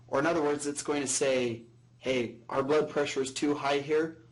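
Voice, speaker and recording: This man's voice carries audible room echo. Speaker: professor. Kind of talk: lecture. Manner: droning.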